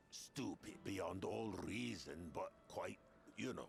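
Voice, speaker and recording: A man puts on a character voice at a very slow pace. Background noise is clear behind him. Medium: video game. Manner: cocky, rambling.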